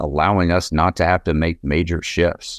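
A man speaks in a flat monotone, his voice dry and close with no echo against a quiet background. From East Tennessee, Knoxville. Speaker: cannabis company co-founder. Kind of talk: interview.

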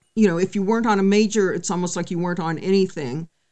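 With an American accent, a woman speaks very fast at a medium pitch and ordinary pitch variation. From California. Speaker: singer-songwriter and punk musician. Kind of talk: interview conversation.

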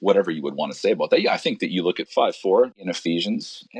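At a fairly quick pace, a man with a Western Canadian accent talks in a dry, close sound with no echo. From Alberta, Canada. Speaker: pastor. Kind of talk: interview conversation.

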